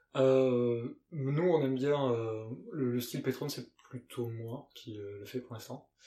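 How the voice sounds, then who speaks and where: At a very slow pace, a man speaks with medium pitch and fairly even intonation. His loudness swings widely. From Gers, southwest France. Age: 30s. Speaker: fashion brand co-founder. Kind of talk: casual interview. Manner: hesitant, many fillers and repeats.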